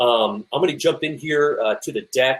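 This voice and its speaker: A man speaks with ordinary pitch variation. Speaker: high school football coach and webinar presenter. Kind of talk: webinar presentation. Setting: online webinar. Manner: fast; hesitant, many fillers.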